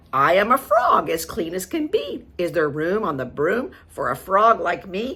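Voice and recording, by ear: A croaky, put-on character voice moves at a moderate pace. It leaves hardly any pauses. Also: female-sounding voice, medium pitch for a woman.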